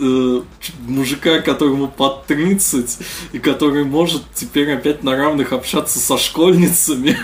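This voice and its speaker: A man's very slow delivery, with ordinary pitch variation, is heard amid noticeable background noise. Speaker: podcast host. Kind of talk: casual chat.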